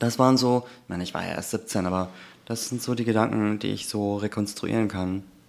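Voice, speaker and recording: A man speaks fairly quickly in a plain, everyday voice at a fairly low pitch. His intonation stays fairly even. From Germany, Turkish family. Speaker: anti-racism trainer and podcast co-host. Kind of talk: casual chat.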